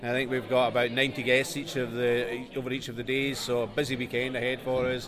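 The speaker goes at a fairly quick pace with hardly any pauses and a monotone, flat intonation over noticeable background noise. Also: man, medium pitch for a man. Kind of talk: casual interview.

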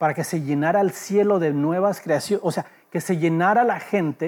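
With a high pitch and ordinary pitch variation, a man talks at a moderate pace. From Los Angeles, US. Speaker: pastor. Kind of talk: sermon.

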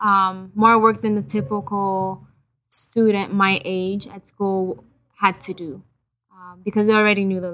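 A woman's medium-pitched, bright and sharp voice in a Haitian accent, fairly slow and flat in intonation, with big swings in loudness. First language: Haitian Creole. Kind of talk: testimony.

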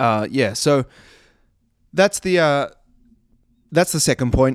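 On a very clean recording with a silent background and a dry, close sound with no echo, a man with a New Zealand accent speaks at a medium pitch with lively intonation. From New Zealand, Christchurch. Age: 20s. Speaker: personal trainer. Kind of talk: solo podcast monologue. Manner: casual, conversational.

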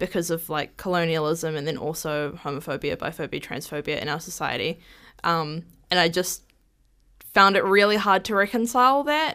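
On a very clean recording with a silent background, a woman with a New Zealand accent speaks in a fairly low, bright, sharp voice with lively intonation. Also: moderate pace. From New Zealand (Māori, urban upbringing). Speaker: rainbow community advocate. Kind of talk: casual chat.

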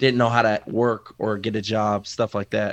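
A man with an American accent speaks in a plain, everyday voice at medium pitch and a moderate pace, with a quiet background. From Waterbury, Connecticut. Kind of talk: interview.

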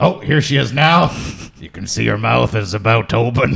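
This man uses a put-on character voice. He keeps a medium pitch and a moderate pace. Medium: actual play. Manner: casual, rambling.

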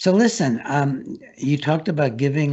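A man with an American accent talks with lively intonation. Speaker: talk show host and psychiatrist. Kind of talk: interview. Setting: studio.

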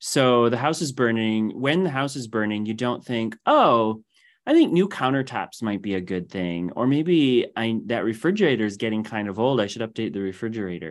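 A man with a plain, everyday voice speaks at a moderate pace and medium pitch, his intonation lively and hardly any pauses in between. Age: 40s. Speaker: data scientist and career coach. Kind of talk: interview conversation. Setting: video call.

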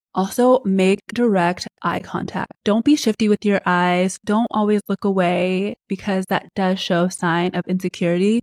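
A woman talks at a fairly slow pace in an ordinary speaking voice, with a medium pitch and fairly even intonation. Hardly any pauses break it up, and the very clean recording has a silent background and a dry, close sound with no echo. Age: 30s. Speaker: podcast host. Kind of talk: solo advice talk.

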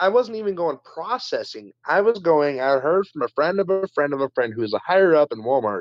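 This man has an American accent and a fairly high pitch. He talks at a fairly quick pace. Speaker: podcast guest. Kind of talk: casual chat. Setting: video call.

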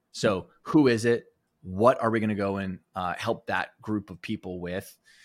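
On a very clean recording with a silent background, a man with a Western Canadian accent talks very slowly at a fairly low pitch, with ordinary pitch variation. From Alberta, Canada. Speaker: performance coach and author. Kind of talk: interview conversation.

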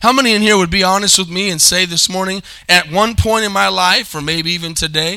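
Bright and sharp in tone, a man's high-pitched voice moves at a fairly quick pace with ordinary pitch variation.

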